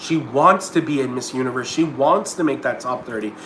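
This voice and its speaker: With ordinary pitch variation, a man talks against noticeable background noise and audible room echo. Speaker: pageant commentator YouTuber. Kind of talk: livestream commentary. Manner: fast; halting, repeats words.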